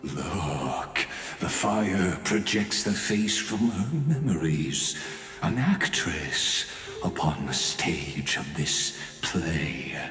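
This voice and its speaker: In a cartoonish character voice, a man speaks at a very slow pace with a very deep, low pitch. There is clear background noise and a slight echo. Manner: detached, mocking.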